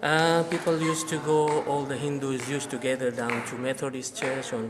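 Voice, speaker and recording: A man with a fairly high voice speaks at a moderate pace, with ordinary pitch variation. Noticeable background noise and audible room echo surround him. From India (Gujarati community). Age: 60s. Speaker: temple community member. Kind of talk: interview, oral history. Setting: in a temple. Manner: halting, many fillers.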